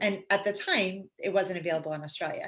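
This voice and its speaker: Animated and fairly quick, a woman speaks with a Canadian accent. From Canada. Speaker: pediatric physiotherapist. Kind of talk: casual interview. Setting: live stream.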